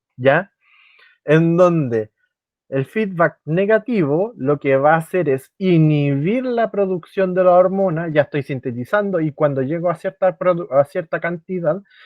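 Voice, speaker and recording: A man speaks at a high pitch with ordinary pitch variation. His pace is fairly slow. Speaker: biology tutor. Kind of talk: online class lecture. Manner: halting with fillers.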